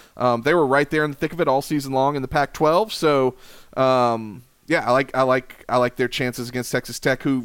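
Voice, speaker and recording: In a plain, everyday voice, a man talks at a fairly quick pace with an American accent, medium pitch and fairly even intonation. The recording is very clean, with a silent background. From South Carolina. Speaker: college baseball analyst. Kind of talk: casual chat.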